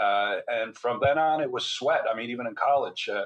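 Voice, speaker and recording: A man with an American accent, very fast pace and ordinary pitch variation. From US Midwest, Michigan. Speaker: neuroradiologist and author. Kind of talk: interview conversation.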